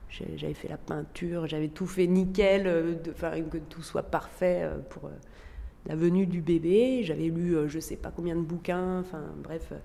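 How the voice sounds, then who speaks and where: Speaking at a very slow pace, a woman with a fairly low pitch keeps her intonation fairly even amid audible room echo. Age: 40s. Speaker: former teacher sharing postpartum depression experience. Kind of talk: testimony. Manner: hesitant, with frequent fillers.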